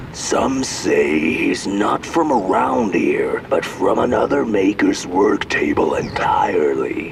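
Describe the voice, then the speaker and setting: A man's cartoonish character voice at a fairly slow pace, over loud background noise. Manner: folksy, musing.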